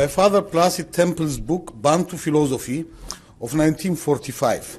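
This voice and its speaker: Speaking with a high pitch, a man moves at a moderate pace with ordinary pitch variation. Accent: slight non-native. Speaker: philosophy professor. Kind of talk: lecture, reading a paper aloud; conference talk.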